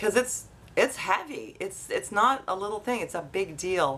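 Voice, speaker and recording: Under light background noise, a woman speaks at a moderate pace with lively intonation. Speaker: vlogger. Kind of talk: casual vlog chat. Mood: earnest, slightly weary. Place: home room.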